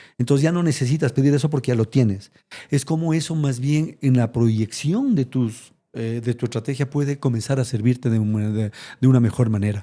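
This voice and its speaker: A man speaks at a fairly quick pace with a dark, mellow tone, medium pitch and ordinary pitch variation. The recording is very clean with a silent background. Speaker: retired corporate executive. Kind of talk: interview conversation. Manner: fast.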